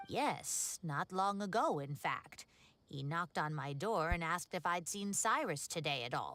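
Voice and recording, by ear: In a put-on character voice, a woman speaks at a fairly slow pace with a fairly low pitch and a bright, sharp tone. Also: lively intonation.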